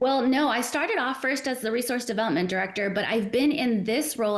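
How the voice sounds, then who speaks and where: An American woman with a plain, everyday voice is speaking. Her pitch variation is ordinary. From Arizona, US. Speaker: nonprofit executive director. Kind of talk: casual interview.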